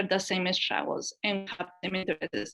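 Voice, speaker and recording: A woman with a Spanish accent, a medium pitch and a bright, sharp tone. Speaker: women's leadership program manager. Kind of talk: panel webinar introduction.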